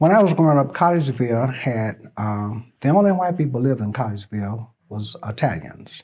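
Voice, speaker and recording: Dark and mellow in tone, a man's somewhat breathy voice sits at a medium pitch. He moves at a fairly quick pace with very wide pitch swings. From US South, Birmingham, Alabama. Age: 70s. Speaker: oral history interviewee. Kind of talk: oral history interview. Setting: interview at a college. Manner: halting, with repeated words.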